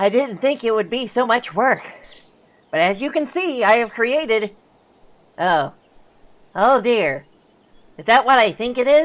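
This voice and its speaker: The speaker uses a put-on character voice with a fairly high pitch. The pace is moderate, with long, frequent pauses. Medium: audio drama. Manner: polite, formal, slightly hesitant.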